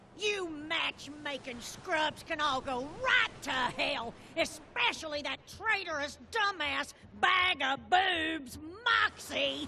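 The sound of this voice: A woman shouts in a raised, high-pitched put-on character voice with a bright, sharp tone and lively intonation. She goes at a slow pace with few pauses.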